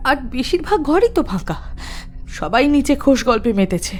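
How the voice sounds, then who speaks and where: A woman puts on a shaky, high-pitched character voice with very wide pitch swings. She speaks at a moderate pace over clear background noise. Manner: trembling, fearful.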